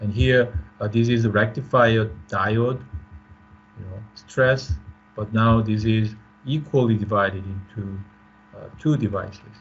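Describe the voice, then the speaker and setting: In a room with audible echo, a man with a fairly low, somewhat breathy voice talks at a fairly slow pace with long, frequent pauses. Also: ordinary pitch variation. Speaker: professor. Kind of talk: lecture. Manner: halting.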